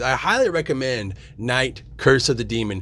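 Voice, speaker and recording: Noticeable background noise is present. Over it, a man speaks at a medium pitch. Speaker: horror podcast host. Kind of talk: casual monologue. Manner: fast; animated.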